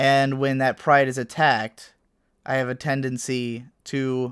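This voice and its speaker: Over a very clean recording with a silent background, a man speaks at medium pitch in a serious tone. His delivery is monotone and flat at a fairly slow pace, with a dry, close sound and no echo. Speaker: YouTuber and video essayist. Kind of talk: monologue to camera.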